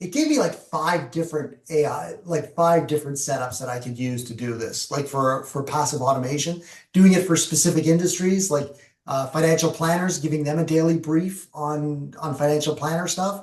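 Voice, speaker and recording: Audible room echo surrounds a man speaking in a fairly high pitch with a Canadian accent and ordinary pitch variation. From Canada. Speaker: professional speaker and presenter. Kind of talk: webinar presentation with Q&A. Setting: video call, LinkedIn Live. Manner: fast.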